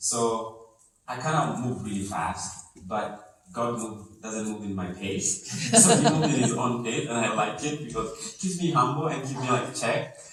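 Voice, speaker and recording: Noticeable background noise beneath a man's mid-range voice. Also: moderate pace. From Kenya. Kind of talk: interview answer.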